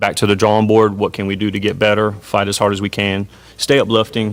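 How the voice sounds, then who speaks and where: In a Southern US accent, a man with a fairly low pitch talks at a fairly quick pace. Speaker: high school football coach. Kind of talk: interview. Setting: hotel media day event.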